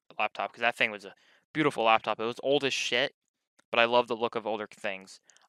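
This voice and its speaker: Delivered at a very fast pace, the voice has a bright, sharp tone and monotone, flat intonation in a dry, close sound with no echo. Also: man. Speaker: tech YouTuber. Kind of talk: casual vlog talk. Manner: stammering, self-corrects; informal, swears casually.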